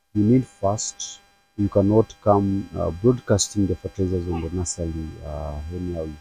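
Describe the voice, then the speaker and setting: A man in a normal speaking voice, moderate pace and ordinary pitch variation, in a dry sound with no echo. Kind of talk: tutorial. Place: farm machine. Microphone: phone near.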